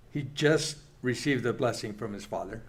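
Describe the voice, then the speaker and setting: A man speaks at a medium pitch with ordinary pitch variation, and some room echo is audible. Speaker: church Bible class teacher. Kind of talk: Bible class teaching. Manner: halting.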